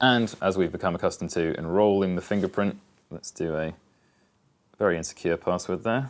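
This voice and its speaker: The speaker has a British accent and ordinary pitch variation, with long, frequent pauses. The recording is very clean, the background silent. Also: man, very deep, low pitch for a man, fairly quick pace. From UK. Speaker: tech reviewer. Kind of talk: unboxing video. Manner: casual.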